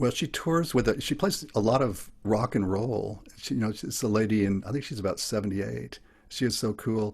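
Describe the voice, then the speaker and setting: Moderate-paced speech from a man at a fairly low pitch, with vocal fry. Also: ordinary pitch variation, hardly any pauses. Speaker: open mic performer. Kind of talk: casual chat. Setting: video call. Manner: halting.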